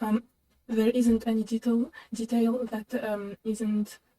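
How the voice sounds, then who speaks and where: A woman speaks very slowly in a fairly high pitch, somewhat breathy and dark and mellow in tone, with monotone, flat intonation in a dry, close sound with no echo. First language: not English. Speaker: reaction video host. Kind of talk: reaction commentary. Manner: halting, many fillers.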